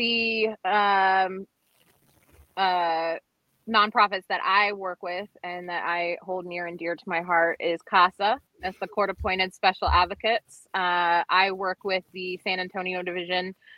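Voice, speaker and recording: Speaking in an American accent, a woman with a plain, everyday voice talks at a medium pitch and a fairly slow pace, with fairly even intonation. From Northern Virginia, US. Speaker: podcast co-host. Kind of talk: casual chat. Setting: remote call from road trip.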